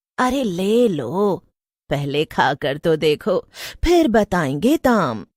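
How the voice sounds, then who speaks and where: On a very clean recording with a silent background, a woman at medium pitch uses a cartoonish character voice with very wide pitch swings, speaking at a very slow pace. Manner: teasing, mocking.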